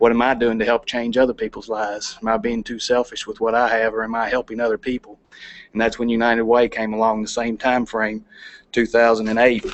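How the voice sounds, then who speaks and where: In a Kentucky accent, a man with a medium pitch speaks very fast in a monotone, flat intonation. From Kentucky, LaRue County. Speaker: plant operations manager, charity volunteer. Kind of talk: presentation to city council. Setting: council meeting.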